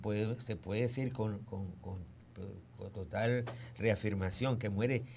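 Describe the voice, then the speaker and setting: A man speaks at a fairly slow pace in a fairly low, somewhat breathy voice, with audible room echo. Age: 60s. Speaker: historian. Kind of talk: radio interview.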